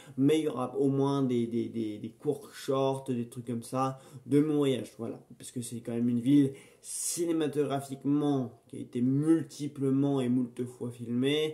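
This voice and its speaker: A man with an English accent, medium pitch, flat monotone intonation, fairly slow pace and big swings in loudness. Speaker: film review YouTuber. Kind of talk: casual unboxing vlog. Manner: hesitant, many fillers and repetitions.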